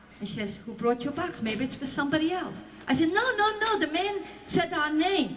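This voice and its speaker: Very wide pitch swings at a fairly quick pace, with audible room echo. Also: woman, high pitch for a woman. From Belgium. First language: Flemish, French and Yiddish. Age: 60s. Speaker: Holocaust survivor speaker. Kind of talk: testimony to school audience.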